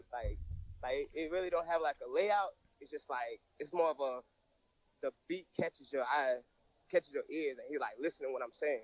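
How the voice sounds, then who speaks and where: A man speaks at a moderate pace with long, frequent pauses, in dry, close sound with no echo. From US South, Georgia, Tybee Island near Savannah. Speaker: rapper. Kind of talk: casual interview.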